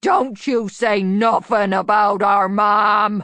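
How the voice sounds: Growling in a put-on character voice, a woman speaks at a medium pitch in a monotone, flat intonation and at a very slow pace.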